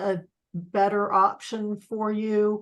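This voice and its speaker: Pitched fairly high, a woman's normal speaking voice holds a fairly even intonation. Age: 60s. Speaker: network marketing team member. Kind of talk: team video call discussion. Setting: video call.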